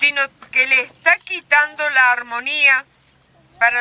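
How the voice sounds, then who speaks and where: A woman with a high pitch and a bright, sharp tone projects her raised voice at a very slow pace with fairly even intonation, in a dry, close sound with no echo. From Argentina, San Luis (Conlara valley). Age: 80s+. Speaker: elder storyteller. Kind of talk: public talk. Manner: halting.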